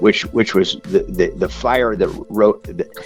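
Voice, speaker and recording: Music plays in the background while a man speaks at a moderate pace. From Orange County, California. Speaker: lawyer and author. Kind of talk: radio interview answer.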